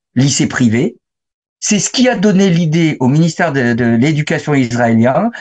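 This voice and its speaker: Somewhat breathy, a man with a fairly high pitch speaks at a fairly slow pace with lively intonation. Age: 60s. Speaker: photographer and author. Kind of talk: interview.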